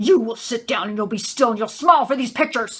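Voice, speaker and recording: A put-on character voice sounds angry at a fairly high pitch. The words come at a very fast pace. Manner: angry, commanding.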